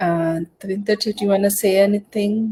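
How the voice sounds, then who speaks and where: The speaker has a Punjabi accent and talks in a flat monotone. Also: woman. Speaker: live stream host, business promoter. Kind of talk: live stream interview. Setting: live online session.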